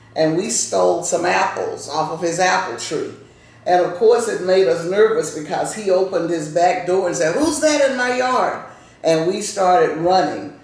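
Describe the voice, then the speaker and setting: A woman with an American accent speaks at a moderate pace and medium pitch, her intonation lively. Audible room echo and noticeable background noise fill the recording. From US South. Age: 70s. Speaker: grandmother telling family history. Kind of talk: casual interview with grandchildren. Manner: conversational, warm storytelling.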